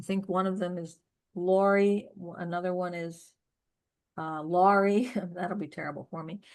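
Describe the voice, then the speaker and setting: A woman with a Pittsburgh accent speaks with big swings in loudness and long, frequent pauses. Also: medium pitch for a woman, fairly even intonation, moderate pace. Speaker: poetry reading host. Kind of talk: casual chat. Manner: halting.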